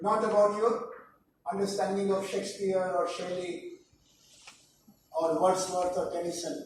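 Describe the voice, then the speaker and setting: A man with an Indian accent and a high pitch, at a fairly slow pace, with audible room echo. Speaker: professor. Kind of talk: lecture. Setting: college talk to students.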